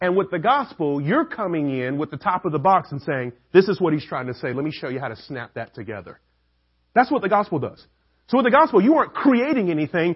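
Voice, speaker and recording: This man talks at a very fast pace with a Southern US accent. His high-pitched voice shows very wide pitch swings and big swings in loudness. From Atlanta, US South. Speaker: preacher. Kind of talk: sermon. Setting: church.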